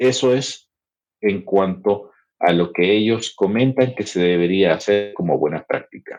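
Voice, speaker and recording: This man talks at a fairly slow pace with a fairly low pitch and ordinary pitch variation. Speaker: podcast host. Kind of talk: educational podcast chat. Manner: conversational, with filler hesitations.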